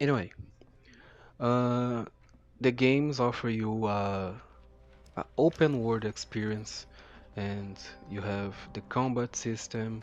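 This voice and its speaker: A man at medium pitch and a very slow pace, with long, frequent pauses and fairly even intonation. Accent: strong non-native. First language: not English. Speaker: gaming YouTuber. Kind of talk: gameplay commentary. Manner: halting, many fillers and repeats.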